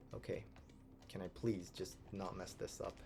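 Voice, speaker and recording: A quiet man's voice with music in the background. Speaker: video game speedrunner streamer. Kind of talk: live gameplay stream commentary. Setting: at home. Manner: quiet, talking quietly.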